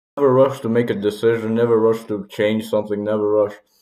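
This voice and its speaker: Delivery is fairly quick. The intonation stays monotone and flat. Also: man. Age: 20s. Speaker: vlogger. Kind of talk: personal reflection monologue. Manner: casual, informal.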